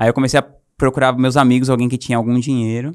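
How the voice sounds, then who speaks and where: Here a man talks at a fairly quick pace in a normal speaking voice at medium pitch. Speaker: entrepreneur. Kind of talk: casual storytelling interview.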